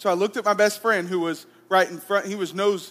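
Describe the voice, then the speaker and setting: A man with an Alabama accent speaks at a fairly quick pace. His voice sits at a high pitch. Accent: Southern US (Alabama). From US South, Alabama. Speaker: pastor. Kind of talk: sermon.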